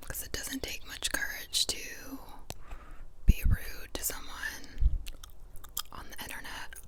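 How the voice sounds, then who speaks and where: A woman whispers at a fairly slow pace, breaking often into long pauses. Her loudness swings widely over noticeable background noise. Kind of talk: ASMR whispered ramble. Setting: chewing gum while talking. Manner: whispered, soft.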